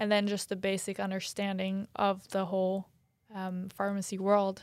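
In a very clean recording with a silent background, a woman talks at a moderate pace in a medium pitch, her intonation monotone and flat. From Norway. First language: Norwegian. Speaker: professional soccer player and pharmacy student. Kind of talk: interview. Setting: studio.

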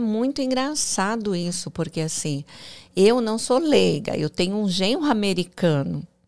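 A woman speaks at a fairly slow pace with a fairly high voice and very wide pitch swings. The recording is very clean, with a silent background. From Brazil, interior of São Paulo state. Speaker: entrepreneur and mentor. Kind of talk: interview.

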